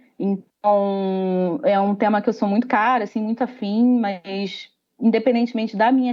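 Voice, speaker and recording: A woman with a Rio de Janeiro accent speaks at a moderate pace and medium pitch, with fairly even intonation. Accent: carioca (Rio de Janeiro). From Rio de Janeiro, Brazil. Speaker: company employee, diversity group member. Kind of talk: panel discussion.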